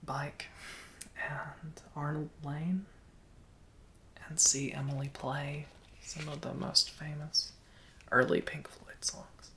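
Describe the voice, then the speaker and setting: Soft-spoken and relaxed, at a very slow pace with long, frequent pauses. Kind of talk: ASMR soft-spoken show and tell, casual talk to camera. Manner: soft-spoken, relaxed.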